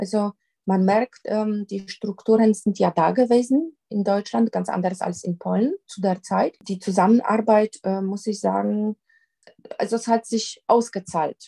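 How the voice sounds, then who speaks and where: A woman with a Polish accent speaks at a medium pitch in a dark, mellow, somewhat breathy tone with fairly even intonation. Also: fairly slow pace, dry, close sound with no echo. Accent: Polish, still noticeable. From Poland. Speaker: crime prevention coordinator. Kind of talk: interview. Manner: hesitant with many fillers.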